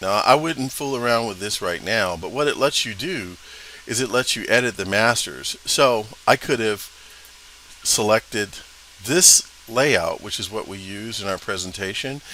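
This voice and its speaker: The speaker goes at a moderate pace with ordinary pitch variation and big swings in loudness, against noticeable background noise. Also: man. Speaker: instructor. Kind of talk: tutorial. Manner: casual, hesitant with fillers.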